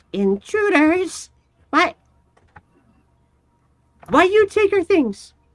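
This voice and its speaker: Someone puts on a character voice at an extremely high pitch, speaking very slowly with long, frequent pauses. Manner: indignant, accusing.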